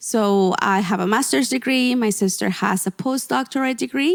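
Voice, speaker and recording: A woman's medium-pitched voice with a Spanish accent, at a moderate pace with ordinary pitch variation, dry and close with no echo, on a very clean recording with a silent background. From Mexico, Gulf Coast. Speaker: portrait photographer and business coach. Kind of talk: podcast interview.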